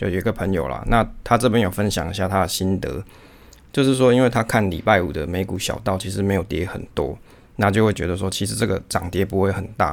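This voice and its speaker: This man speaks in a very deep, low voice with vocal fry and a Taiwanese accent, using ordinary pitch variation. He talks at a fairly quick pace on a very clean recording with a silent background. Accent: Taiwanese Mandarin. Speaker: podcast host on investing. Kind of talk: casual solo podcast talk.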